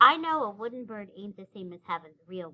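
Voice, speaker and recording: With a Southern US accent, a woman performs a put-on character voice at medium pitch. Her loudness swings widely. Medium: read story. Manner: plainspoken, folksy.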